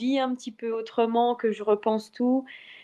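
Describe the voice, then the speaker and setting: The speaker uses a monotone, flat intonation at a fairly slow pace. The background is quiet. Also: woman. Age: 20s. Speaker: athlete. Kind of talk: interview. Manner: halting.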